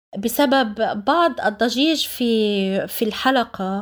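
A woman speaks at a very slow pace. Her voice is high-pitched for a woman, with lively intonation. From Palestine, Jaffa. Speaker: podcast host and writer. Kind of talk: formal podcast presentation. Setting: remote interview. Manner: formal.

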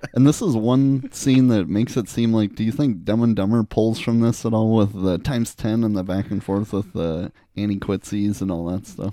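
A dark, mellow, playful voice moves at a moderate pace with hardly any pauses and ordinary pitch variation, captured in a very clean recording with a silent background. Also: man, fairly low pitch for a man. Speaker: podcast co-host. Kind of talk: casual chat. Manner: joking, playful.

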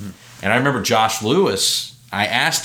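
The man talks at a fairly quick pace. His voice carries audible room echo. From Alabama. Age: 20s. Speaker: comedian and musician. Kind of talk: casual interview chat.

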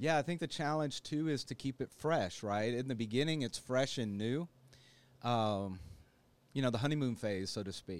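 In a plain, everyday voice, a man talks at a moderate pace with lively intonation. The recording is very clean, the background silent. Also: medium pitch for a man. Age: 50s. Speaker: licensed counselor. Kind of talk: casual interview.

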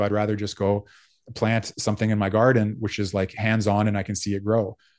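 A man speaks at a fairly quick pace in a fairly low pitch against a quiet background. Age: 40s. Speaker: philosophy teacher. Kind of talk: interview.

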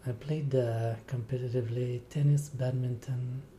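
With a French-Canadian accent, a man talks at a fairly slow pace in a somewhat breathy, dark, mellow voice, his relaxed tone set at a medium pitch and delivered in a monotone, flat intonation. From Quebec, Rivière-du-Loup. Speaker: triathlete. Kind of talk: interview.

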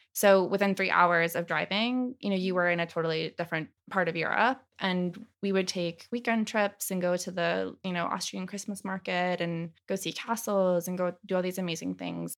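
In a normal speaking voice with an American accent, a woman keeps a moderate pace and a medium pitch with fairly even intonation and hardly any pauses. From US, military family moving between states and Italy. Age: 20s. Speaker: project manager. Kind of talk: interview.

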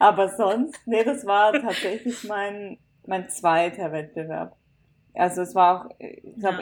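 A woman speaks in a normal speaking voice at a medium pitch. Her pitch varies in an ordinary way. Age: 20s. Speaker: author. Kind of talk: casual chat.

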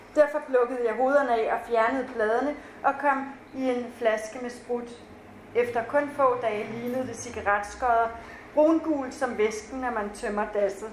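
Her pitch is high and her intonation fairly even. The woman speaks at a fairly slow pace over noticeable background noise. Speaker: author. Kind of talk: reading aloud. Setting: stage with audience.

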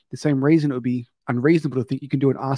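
A man with an Australian accent talks at a very fast pace in a medium pitch and a dark, mellow tone. His intonation is fairly even, over a quiet background. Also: dry, close sound with no echo. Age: 30s. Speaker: podcast host, gym business owner. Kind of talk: podcast interview.

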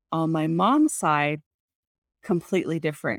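Recorded very cleanly against a silent background, a woman's voice comes across dry and close with no echo. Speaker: guest sharing family stories. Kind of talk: casual interview chat.

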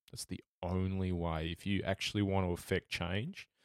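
An Australian accent with monotone, flat intonation and a dry, close sound with no echo. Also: man, very clean recording, silent background. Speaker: sports journalist. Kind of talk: casual chat.

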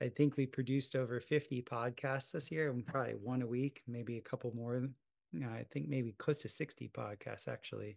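This man has an ordinary speaking voice, medium in pitch, with an American accent. He talks at a fairly quick pace with fairly even intonation. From US South, South Florida. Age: 40s. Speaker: podcast host. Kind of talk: casual interview conversation.

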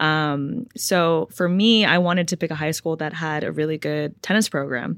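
A woman with an American accent speaks at a moderate pace in a very deep, low pitch with ordinary pitch variation, on a very clean recording with a silent background. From Los Angeles, California. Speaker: professional tennis player. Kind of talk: casual interview chat. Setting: in-person studio. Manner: many filler ums.

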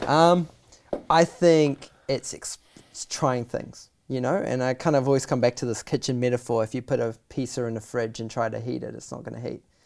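Speaking at a moderate pace with a New Zealand accent, a man with medium pitch and ordinary pitch variation shows big swings in loudness. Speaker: filmmaker. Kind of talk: casual interview chat.

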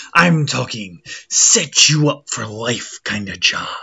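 Using a put-on character voice, a man speaks at a fairly slow pace with very wide pitch swings while faint music plays in the background. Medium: actual play. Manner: hearty, boisterous.

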